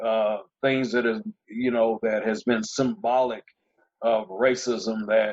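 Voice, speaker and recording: At a fairly slow pace, a man with a Southern US accent speaks at medium pitch. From Georgia, US South. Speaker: former police officer, sheriff candidate. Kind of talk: panel discussion.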